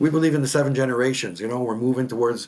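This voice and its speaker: Man talking at a very fast pace with ordinary pitch variation. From James Bay area, northern Quebec (Cree). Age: 50s. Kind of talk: interview. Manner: halting, repetitive.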